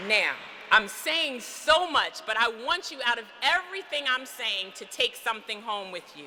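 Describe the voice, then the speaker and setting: Amid noticeable background noise, a woman talks in an animated tone at a high pitch and moderate pace, with very wide pitch swings. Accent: American. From US Northeast, Philadelphia. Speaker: physician and commencement speaker. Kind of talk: commencement speech. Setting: church.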